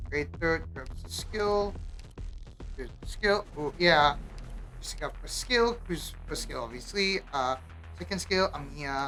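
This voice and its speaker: Music plays in the background while a woman talks. She goes at a very slow pace with long, frequent pauses. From Malaysia. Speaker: video game streamer. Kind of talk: live gameplay commentary. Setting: live stream with camera. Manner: casual, thinking aloud with fillers.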